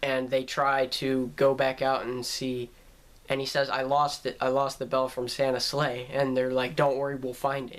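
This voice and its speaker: Monotone, flat intonation runs through this man's medium-pitched speech. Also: moderate pace. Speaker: YouTube movie reviewer. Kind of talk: casual movie review. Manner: halting, many fillers.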